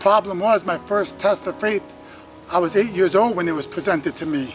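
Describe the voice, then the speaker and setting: A man's high voice at a fairly quick pace with ordinary pitch variation, music in the background. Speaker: spoken word poet. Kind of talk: spoken word poetry performance.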